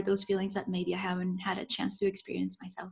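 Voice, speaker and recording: A woman with a Spanish accent speaks at a very fast pace and medium pitch, somewhat breathy, in monotone, flat intonation. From Colombia. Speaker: professor. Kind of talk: casual interview.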